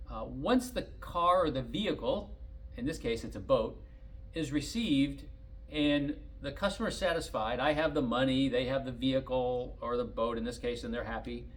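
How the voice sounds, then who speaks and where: A man at a moderate pace, with audible room echo. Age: 60s. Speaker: collector car dealer. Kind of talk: casual monologue.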